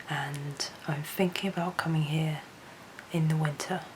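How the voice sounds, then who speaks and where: Quiet and flat, a woman's monotone voice sits at a very deep, low pitch over noticeable background noise. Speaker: wildlife photographer and vlogger. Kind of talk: travel vlog narration. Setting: remote house at night.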